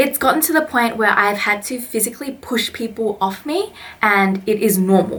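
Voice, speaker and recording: With an Australian accent, a woman speaks at a fairly high pitch with ordinary pitch variation over noticeable background noise. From Australia (Melbourne). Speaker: vlogger and English teacher. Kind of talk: vlog monologue. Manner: casual, animated.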